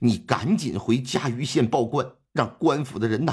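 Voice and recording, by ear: The speaker is reading aloud in a natural voice. Pitch varies in an ordinary way against a quiet background.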